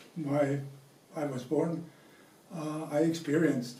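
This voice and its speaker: A man speaks with a fairly high pitch and a dark, mellow tone. His intonation stays fairly even, and audible room echo is present. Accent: German. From Germany, Franconia. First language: German. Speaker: interviewee sharing family memories. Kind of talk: personal storytelling. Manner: halting, many fillers.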